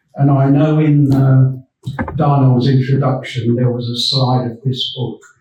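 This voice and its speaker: A man at medium pitch with fairly even intonation and audible room echo. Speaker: retired police officer, guest speaker. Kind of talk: public talk. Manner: halting.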